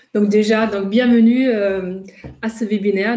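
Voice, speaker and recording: Monotone, flat intonation in a slight German accent over noticeable background noise. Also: woman. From Germany, Ruhr region. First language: German (speaking French). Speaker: intercultural trainer and coach. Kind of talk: webinar presentation. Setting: online webinar. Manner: hesitant, many fillers.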